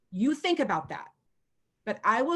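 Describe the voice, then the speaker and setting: Somewhat breathy and animated, the speaker talks at a moderate pace with an American accent on a very clean recording with a silent background. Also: woman. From US Pacific Northwest (Washington state). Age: 50s. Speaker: chalk art mentor and retired school principal. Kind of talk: casual video chat.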